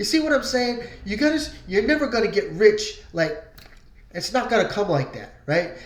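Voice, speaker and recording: Over noticeable background noise, a man talks at a moderate pace with a high pitch and very wide pitch swings. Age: 60s. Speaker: online marketing vlogger. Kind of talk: casual motivational vlog with sales pitch. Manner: conversational, many fillers.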